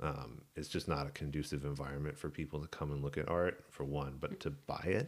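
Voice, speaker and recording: Speaking at a fairly quick pace, a man uses a very deep, low voice with vocal fry. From southern New Mexico. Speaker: visual artist. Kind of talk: casual chat.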